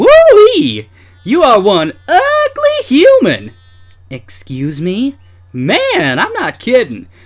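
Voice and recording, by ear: A man puts on a character voice and speaks at a very slow pace.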